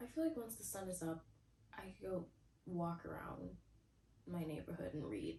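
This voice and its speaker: A woman at a moderate pace, with long, frequent pauses. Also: big swings in loudness. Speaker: booktuber. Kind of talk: casual vlog talk to camera. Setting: at home in bed. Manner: quieter, lowered voice late at night.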